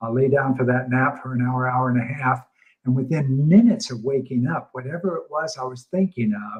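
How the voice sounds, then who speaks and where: A man with a medium pitch talks at a fairly quick pace, somewhat breathy, with ordinary pitch variation. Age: 70s. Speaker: talk show host. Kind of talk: casual chat.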